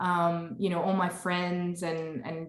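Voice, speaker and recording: Amid audible room echo and noticeable background noise, a woman with an American accent speaks at a fairly slow pace and a fairly low pitch. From northern California, US. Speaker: nutrition business founder. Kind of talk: podcast interview. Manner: casual, many fillers and restarts.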